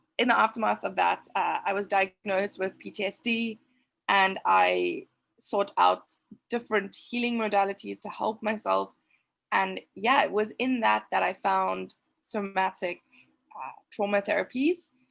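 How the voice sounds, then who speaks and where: A woman speaks in a South African accent. She talks at a fairly slow pace. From South Africa, Cape Town. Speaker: trauma coach. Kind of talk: interview testimony.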